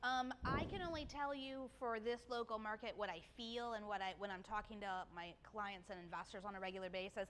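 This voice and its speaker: Over noticeable background noise, a woman speaks at a fairly quick pace with hardly any pauses, her pitch fairly high with ordinary variation. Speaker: mortgage lender. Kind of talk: presentation to a live audience. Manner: fast.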